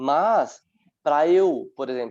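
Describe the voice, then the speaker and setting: Intonation is lively in this man's speech. He uses a fairly high pitch. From Brazil, São Paulo metro area (Francisco Morato). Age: 30s. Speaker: dance teacher and dancer. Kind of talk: online panel talk.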